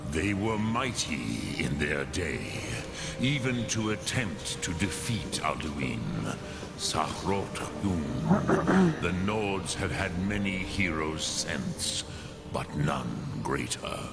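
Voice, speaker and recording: Over loud background noise, a put-on character voice moves along at a very slow pace. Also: man, very deep, low pitch for a man. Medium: machinima. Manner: slow, grave, measured.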